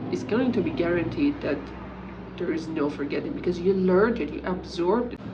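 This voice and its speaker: A woman's medium-pitched voice with a Persian accent, very wide pitch swings and a fairly quick pace, amid audible room echo and noticeable background noise. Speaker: English teacher. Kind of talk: talking-head tutorial.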